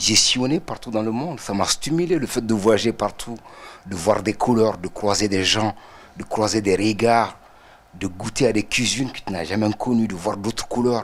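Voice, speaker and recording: A man talks at a moderate pace with a fairly low pitch and ordinary pitch variation. It is an ordinary speaking voice. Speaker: artist. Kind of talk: TV interview.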